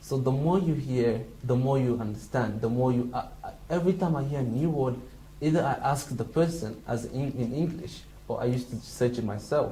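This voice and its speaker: Talking at a fairly quick pace with a Somali accent, a man uses a medium pitch and ordinary pitch variation while audible room echo surrounds him. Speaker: international student. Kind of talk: interview. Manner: halting.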